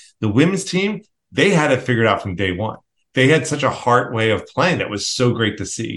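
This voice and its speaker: A man's pitch swings very widely while he speaks fairly quickly. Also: medium pitch for a man. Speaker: podcast host. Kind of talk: casual chat.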